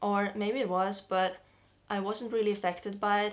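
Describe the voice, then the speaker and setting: A woman speaks with a Russian accent at medium pitch. Her intonation is monotone and flat. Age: 20s. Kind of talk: casual talk to camera.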